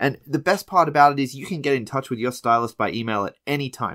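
On a very clean recording with a silent background, a man with an Australian accent talks at a very fast pace. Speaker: podcast host. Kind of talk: casual chat. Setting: in person.

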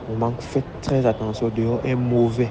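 Against noticeable background noise, a man speaks in a flat monotone at a fairly slow pace. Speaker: barber. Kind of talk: testimony.

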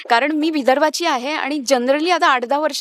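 A woman with ordinary pitch variation on a very clean recording with a silent background. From Vidarbha, Maharashtra. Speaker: TV serial actress. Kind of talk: interview.

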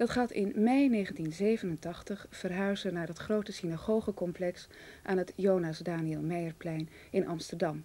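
At a fairly slow pace, a woman speaks in a dark, mellow tone with ordinary pitch variation. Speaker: television announcer. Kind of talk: announcement. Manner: formal. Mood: calm, earnest.

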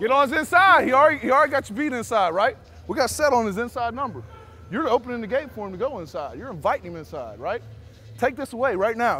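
A man talks at a very fast pace in a raised, projected voice. Faint music plays in the background. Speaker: football coach. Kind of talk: coaching instructions. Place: hall. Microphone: lapel.

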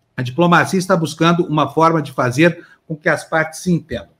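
A man with a high-pitched voice. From Brazil. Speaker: news show host. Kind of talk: news reading. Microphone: video call.

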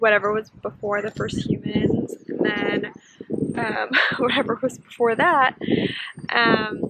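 Over loud background noise, a woman talks at a fairly slow pace with ordinary pitch variation and a dry sound with no echo. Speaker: vlogger. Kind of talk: casual vlog chat. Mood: reflective, thoughtful. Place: beach. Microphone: phone near.

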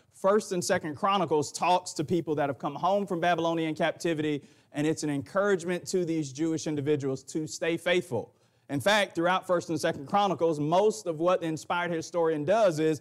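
Over a quiet background, a man speaks in a high voice. His pace is fairly quick. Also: ordinary pitch variation. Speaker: preacher. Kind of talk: sermon. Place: church.

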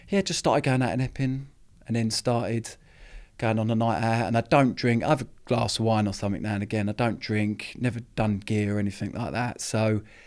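A man at a fairly quick pace, with fairly even intonation, against a quiet background. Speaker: podcast guest. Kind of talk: interview answer. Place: studio. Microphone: studio mic.

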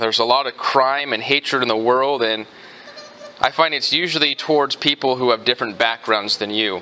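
Mostly level intonation from a man at medium speed. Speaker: pastor. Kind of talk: sermon. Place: church.

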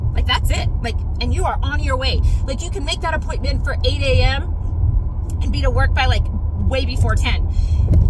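A woman with an American accent speaks at a moderate pace, with long, frequent pauses. The sound is dry with no echo, and there is loud background noise. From Arizona, US. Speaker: vlogger. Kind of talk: casual vlog chat. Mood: chatty, slightly tired. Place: car. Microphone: phone near.

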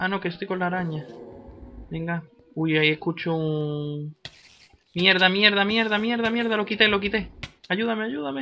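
A man's raised, projected voice, high-pitched with a bright, sharp tone, at a moderate pace with ordinary pitch variation and long, frequent pauses. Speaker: gaming YouTuber. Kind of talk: gameplay commentary. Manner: animated.

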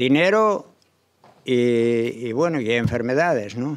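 Over a quiet background, a man talks very slowly with lively intonation. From Asturias, Spain. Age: 80s+. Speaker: organic farmer; panelist. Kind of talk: panel presentation. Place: hall. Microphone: podium.

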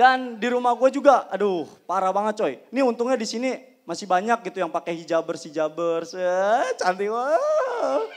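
A man with a high pitch and lively intonation talks at a moderate pace with hardly any pauses. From Indonesia. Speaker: stand-up comedian. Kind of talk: stand-up comedy. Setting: stage with audience. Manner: animated; punchline-driven, acts out characters. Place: stage. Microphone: handheld.

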